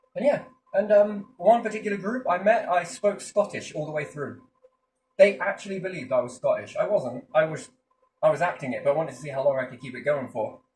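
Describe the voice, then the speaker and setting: A man with an English accent talks at a fairly quick pace in a high pitch for a man. His pitch swings very widely and his loudness swings a lot too. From England. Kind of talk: casual chat.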